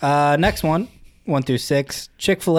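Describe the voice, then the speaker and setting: This man has a plain, everyday voice, fairly high in pitch, with an American accent and ordinary pitch variation. He talks at a fairly slow pace on a very clean recording with a silent background. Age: 20s. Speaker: co-host. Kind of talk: casual chat.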